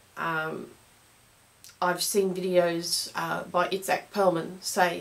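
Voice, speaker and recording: Her medium-pitched voice carries an Australian accent, and this woman keeps her intonation fairly even. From Australia, Brisbane. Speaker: clarinet teacher. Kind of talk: tutorial. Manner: casual, hesitant with fillers.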